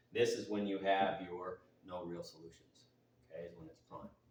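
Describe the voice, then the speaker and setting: Audible room echo surrounds this man's voice. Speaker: math teacher. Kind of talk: tutorial. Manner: fast.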